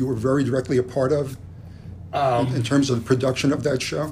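A man with an American accent, somewhat breathy, at a fairly quick pace and with fairly even intonation. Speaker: podcast host. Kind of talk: interview.

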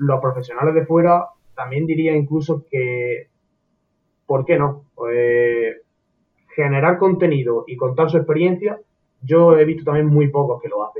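A man with a fairly high voice and ordinary pitch variation speaks with long, frequent pauses. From Andalusia, Córdoba. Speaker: psychology student. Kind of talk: casual interview chat.

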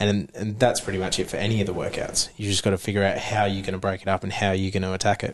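Over noticeable background noise, a man with an Australian accent speaks very fast in a fairly low pitch, his delivery monotone and flat with hardly any pauses. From Queensland, Australia. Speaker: CrossFit athlete and diesel mechanic. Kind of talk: casual chat. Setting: gym.

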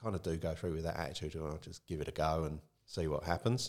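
A man talks at a very fast pace in a southern English accent. The recording is very clean, with a silent background. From Kent, south England. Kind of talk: casual interview chat.

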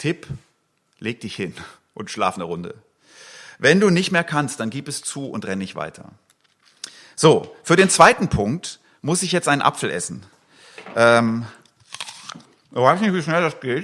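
A man with a fairly high pitch and vocal fry at a fairly slow pace, with very wide pitch swings, big swings in loudness and long, frequent pauses. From eastern Switzerland. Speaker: pastor. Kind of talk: sermon. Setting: church livestream. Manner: casual with many fillers.

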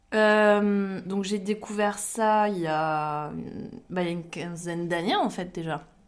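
A woman's medium-pitched voice, very slow and fairly even in intonation. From Champagne-Ardenne, France. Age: 30s. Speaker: IT worker. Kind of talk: casual anecdote testimony.

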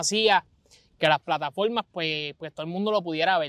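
A man with a Puerto Rican accent speaks at a high pitch and a moderate pace, with fairly even intonation. The recording is very clean with a silent background, dry and close with no echo. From Puerto Rico, Vega Baja. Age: 20s. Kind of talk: casual chat. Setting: outdoors.

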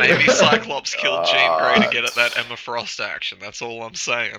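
Noticeable background noise sits behind a man speaking at a moderate pace. His loudness swings widely. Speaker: podcast co-host. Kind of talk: casual, jokey banter.

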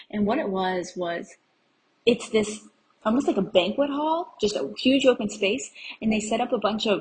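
A woman's fairly high, somewhat breathy voice, animated and enthusiastic, with lively intonation. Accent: American. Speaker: solo travel podcaster. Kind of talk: casual solo monologue, travel update. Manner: animated, enthusiastic.

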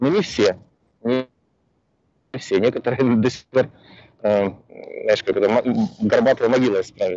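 Speaking at a fairly slow pace, a man keeps a medium pitch. His intonation is fairly even. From former Soviet Union. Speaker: immigration consultant. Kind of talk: interview answers. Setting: call from a bus.

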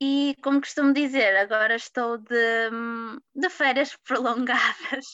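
A woman projects a raised voice with a bright, sharp tone. The recording sounds dry and close, without any echo. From Portugal, Porto. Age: 20s. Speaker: patient sharing illness story. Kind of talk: interview testimony.

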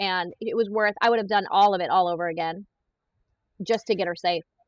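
Energetic in tone, a woman speaks in a dry, close sound with no echo. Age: 40s. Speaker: human trafficking survivor and criminal profiler. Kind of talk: casual interview.

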